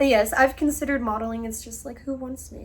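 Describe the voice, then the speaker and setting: Noticeable background noise runs behind the clip. A woman talks with ordinary pitch variation. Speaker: freelance model and video creator. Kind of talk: casual Q&A vlog. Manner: casual, hesitant with fillers.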